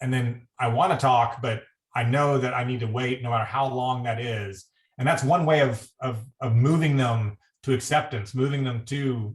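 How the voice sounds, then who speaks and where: A man speaks at a moderate pace and medium pitch, somewhat breathy, with fairly even intonation. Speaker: critical care physician. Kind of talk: panel discussion.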